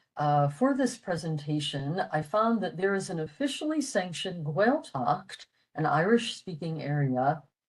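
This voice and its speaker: A woman with an American accent speaks at a moderate pace in a medium pitch, somewhat breathy. Her pitch swings very widely. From US, western Pennsylvania. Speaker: retired medical technologist, language enthusiast presenter. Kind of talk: presentation. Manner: hesitant with fillers.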